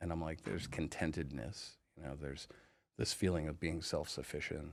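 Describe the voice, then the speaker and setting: Speaking with an American accent, a man has a very deep, low pitch and vocal fry at a moderate pace. The recording is very clean, with a silent background. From Maine, US. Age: 40s. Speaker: podcast guest sharing life story. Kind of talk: interview testimony. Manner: halting, many fillers and restarts.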